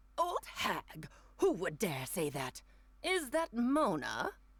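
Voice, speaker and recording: The speaker puts on a character voice with a fairly high pitch. The delivery is very slow. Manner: indignant.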